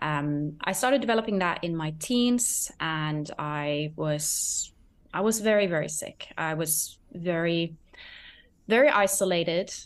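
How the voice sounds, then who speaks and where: In a quiet setting, a woman speaks fairly slowly at a fairly low pitch with lively intonation. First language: not English. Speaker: eating disorder recovery coach. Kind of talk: casual interview chat.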